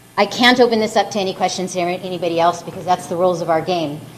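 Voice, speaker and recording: Delivered at a very fast pace with fairly even intonation, the speech sits over noticeable background noise. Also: woman. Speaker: event organizer. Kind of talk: closing remarks. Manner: halting.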